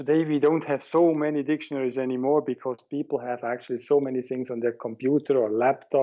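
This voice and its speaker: A man speaks at a fairly quick pace with a German accent. His pitch is medium and his intonation monotone and flat. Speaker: head of a religious organization. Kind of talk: interview, giving a video tour.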